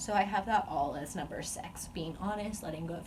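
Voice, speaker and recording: This woman's intonation stays fairly even, with audible room echo and noticeable background noise around her. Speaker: vlogger sharing eating disorder recovery. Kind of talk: personal vlog monologue. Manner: casual with fillers.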